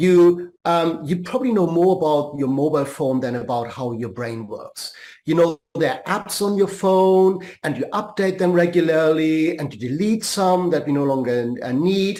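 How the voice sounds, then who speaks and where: In a German accent, a man with a high pitch and a dark, mellow tone speaks with lively intonation. He keeps a moderate pace with hardly any pauses. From Germany. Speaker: life and career coach. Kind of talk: podcast interview.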